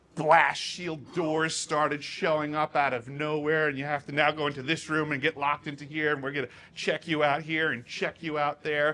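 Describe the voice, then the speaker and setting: A man speaks at a moderate pace with hardly any pauses, in a fairly high voice. His tone is bright and sharp, his intonation flat and monotone. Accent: New York. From Long Island, New York, US. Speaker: whistleblower speaker. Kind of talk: Q&A after a talk. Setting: stage with audience.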